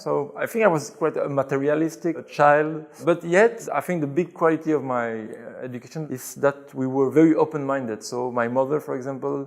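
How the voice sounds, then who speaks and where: A man speaks with a Belgian French accent. His pace is fairly quick, with hardly any pauses. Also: fairly high pitch for a man, ordinary pitch variation. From Belgium, Brussels. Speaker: convert to Islam telling his story. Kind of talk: interview. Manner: hesitant, with fillers.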